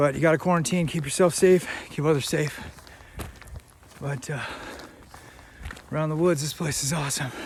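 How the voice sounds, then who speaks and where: A man speaks at a fairly quick pace and a fairly high pitch with fairly even intonation. Long, frequent pauses break up his speech amid noticeable background noise. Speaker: hiking vlogger. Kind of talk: casual vlog. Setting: outdoors on a forest trail.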